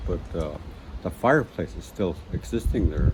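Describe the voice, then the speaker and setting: A man speaks in a dark, mellow tone that's somewhat breathy. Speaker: elder and master carver. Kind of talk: traditional oral storytelling. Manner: slow, reflective, with hesitations.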